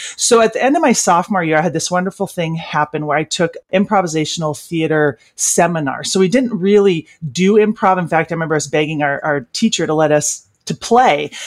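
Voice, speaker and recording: With an American accent and an unremarkable speaking voice, this speaker talks at a fairly quick pace with ordinary pitch variation and hardly any pauses, the sound dry and close with no echo. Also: woman, fairly low pitch for a woman. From Washington State, US. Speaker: comedian and corporate trainer. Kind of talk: interview.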